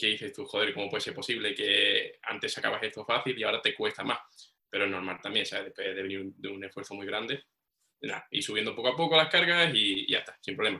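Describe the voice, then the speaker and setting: Lively in intonation and very fast, a man talks at a fairly low pitch. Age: 20s. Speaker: powerlifter. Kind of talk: casual chat.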